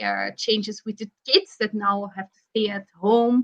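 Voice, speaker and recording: At a fairly slow pace, a woman in a Flemish Belgian accent speaks with fairly high pitch, a bright, sharp tone and monotone, flat intonation. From Belgium (Flanders). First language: Flemish (Dutch). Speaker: psychologist. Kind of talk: interview. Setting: online live video stream.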